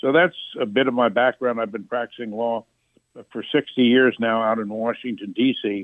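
Speaking in an ordinary speaking voice, a man with an American accent keeps a moderate pace, medium pitch and fairly even intonation. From US Midwest, northern Indiana. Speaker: author and attorney. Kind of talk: interview.

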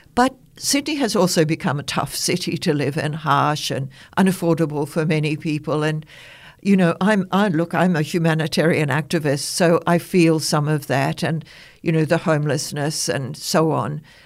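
A woman's very deep, low-pitched voice with ordinary pitch variation. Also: moderate pace. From New Zealand. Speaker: author and interfaith minister. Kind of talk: casual chat.

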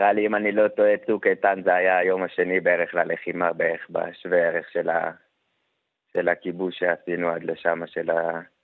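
Keeping a moderate pace, a man speaks with very even loudness. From Samaria, West Bank. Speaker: wounded soldier. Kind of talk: testimony.

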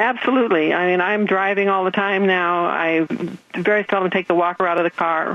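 With an unremarkable speaking voice, a woman talks at a medium pitch and fairly quick pace, her intonation fairly even and her loudness very even. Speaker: patient. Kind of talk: testimony. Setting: phone call.

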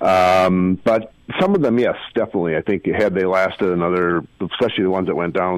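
A man with an Upper Midwest accent talks fairly quickly in a very deep, low voice with ordinary pitch variation. The sound is dry and close, with no echo. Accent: Upper Midwest American. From Minneapolis, Minnesota. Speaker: author and architecture journalist. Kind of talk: casual interview.

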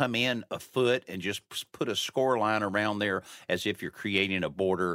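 A man's fairly low, bright, sharp voice at a moderate pace, with ordinary pitch variation. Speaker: home improvement radio host. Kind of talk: casual radio call-in show. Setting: studio.

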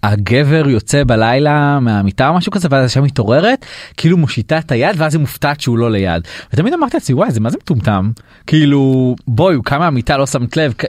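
Speaking at a fairly quick pace, a man with a plain, everyday voice sits fairly high in pitch, with lively intonation and very even loudness. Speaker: podcast host. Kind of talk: podcast interview. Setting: studio.

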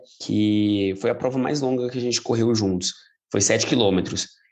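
A man's normal speaking voice at medium pitch over a quiet background. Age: 30s. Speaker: police clerk and amateur runner. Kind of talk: interview.

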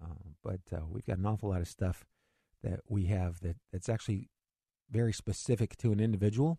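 A man talks at a fairly quick pace in a fairly low, somewhat breathy voice with a dark, mellow tone. The sound is dry and close, with no echo. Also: ordinary pitch variation, quiet background. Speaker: financial radio host. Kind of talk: radio talk show about investing. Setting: radio studio broadcast. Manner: fast talker, excitable.

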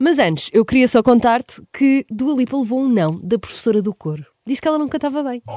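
A woman with a European Portuguese accent, dark, mellow tone and fairly quick pace, in a dry, close sound with no echo. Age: 20s. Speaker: radio host. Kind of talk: radio music show presenting. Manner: animated.

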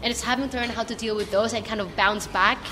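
A woman speaks in a fairly high pitch with monotone, flat intonation. There is noticeable background noise. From Philippines. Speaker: racing driver. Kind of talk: casual interview.

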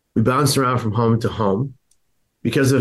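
A man with an American accent talks at a fairly quick pace. His voice is somewhat breathy, with fairly even intonation. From San Francisco, US. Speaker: suicide prevention advocate. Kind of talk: interview, personal testimony.

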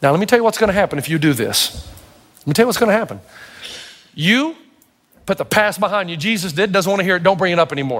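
A man with a high voice talks very fast but leaves long, frequent pauses. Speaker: pastor. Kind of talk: sermon.

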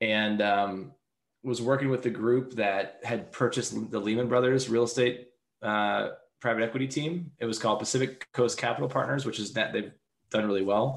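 A man speaks at a medium pitch and a moderate pace. He has a plain, everyday voice with ordinary pitch variation. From Seattle. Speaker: tech company founder and CEO. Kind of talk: interview.

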